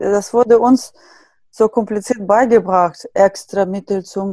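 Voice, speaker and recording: A woman speaks at a fairly high pitch in a dark, mellow tone and at a fairly slow pace. The sound is dry and close with no echo over a quiet background. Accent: Russian. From Siberia, Russia. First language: Russian (speaking German). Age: 30s. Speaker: natural skincare blogger. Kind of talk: casual interview.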